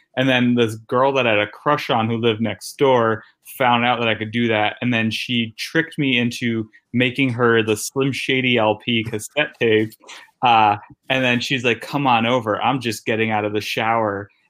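A man with an American accent talks at a moderate pace in a flat, monotone delivery. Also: medium pitch for a man. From Connecticut, New Haven. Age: 30s. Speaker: stand-up comedian. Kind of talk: casual interview chat. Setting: guest bedroom at a friend's house.

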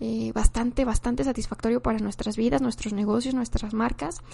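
A woman talks at a fairly high pitch against a quiet background. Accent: Mexican. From Mexico. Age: 20s. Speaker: podcast host and content creator. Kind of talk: casual monologue. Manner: halting, with frequent repetitions.

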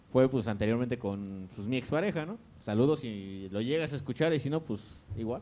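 This man has an unremarkable speaking voice at a medium pitch. He moves at a fairly quick pace with lively intonation. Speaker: podcast co-host. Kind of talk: casual chat.

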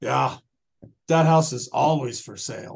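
A man puts on a raspy character voice, pitched fairly high, and speaks at a fairly slow pace.

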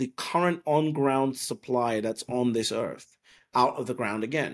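Recorded very cleanly against a silent background, a man with an English accent speaks at a fairly high pitch and moderate pace with ordinary pitch variation. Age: 30s. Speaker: bitcoin commentator and entrepreneur. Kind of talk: podcast interview.

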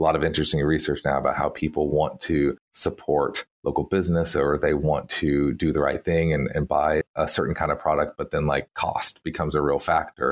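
On a very clean recording with a silent background, a man with a Texan accent talks at a fairly quick pace in a very deep, low pitch. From Texas. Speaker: PR strategist.

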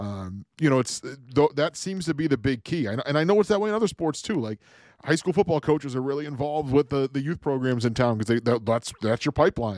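A man's normal speaking voice, fairly high in pitch with lively intonation, dry and close with no echo, on a very clean recording with a silent background. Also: fairly quick pace. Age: 30s. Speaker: hockey podcast co-host. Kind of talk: casual chat.

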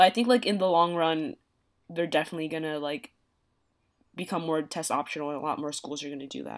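In an American accent, a woman with a very deep, low pitch talks at a very fast pace with long, frequent pauses, ordinary pitch variation and big swings in loudness, on a very clean recording with a silent background. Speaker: college student. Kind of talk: casual chat.

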